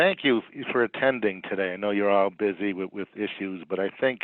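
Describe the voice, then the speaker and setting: A man speaks in a fairly low voice with a slight Boston accent. His pace is moderate and his intonation fairly even. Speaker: psychologist. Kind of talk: webinar presentation. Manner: halting with repetitions.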